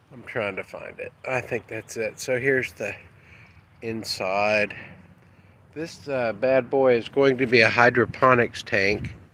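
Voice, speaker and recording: A man's bright, sharp voice, medium in pitch, at a fairly slow pace with fairly even intonation and big swings in loudness. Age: 60s. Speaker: internet marketer. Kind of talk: casual vlog walkthrough. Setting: outdoors at home. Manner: rambling conversational.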